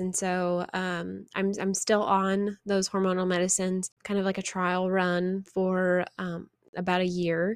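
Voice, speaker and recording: A woman speaks at a fairly slow pace with a medium-pitched voice. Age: 20s. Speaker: podcast host, faith and fitness coach. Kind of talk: personal testimony monologue.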